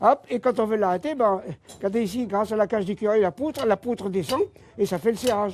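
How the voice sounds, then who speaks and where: The man's voice sits high, and he talks at a very fast pace. The sound is dry and close, with no echo. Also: ordinary pitch variation. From French Flanders. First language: Flemish (speaking French). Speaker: miller. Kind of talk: guided tour explanation. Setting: inside a windmill. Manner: halting.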